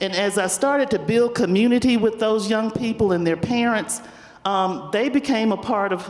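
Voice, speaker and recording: In a Southern US accent, a woman keeps her loudness very even, with audible room echo and noticeable background noise. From US South, Spartanburg, South Carolina. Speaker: community foundation leader. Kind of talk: panel discussion. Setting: stage with audience.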